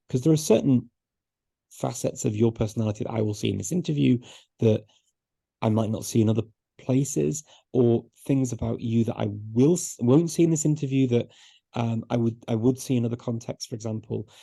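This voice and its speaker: The tone is dark, mellow, and somewhat breathy. Long, frequent pauses break up the speech. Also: man, medium pitch for a man, ordinary pitch variation, fairly quick pace. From northern England, Liverpool. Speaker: polyglot, language expert. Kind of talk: interview. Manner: repeats words often.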